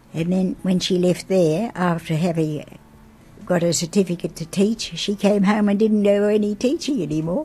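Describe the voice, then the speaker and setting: In an Australian accent, a woman speaks at a moderate pace and medium pitch, her voice somewhat breathy with a dark, mellow tone and ordinary pitch variation. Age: 80s+. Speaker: grandmother. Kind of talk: interview answer.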